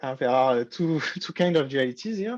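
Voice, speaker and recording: A man speaks at a moderate pace in a high voice, with a dry, close sound, no echo and a quiet background. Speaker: university lecturer. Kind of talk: lecture. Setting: online lecture.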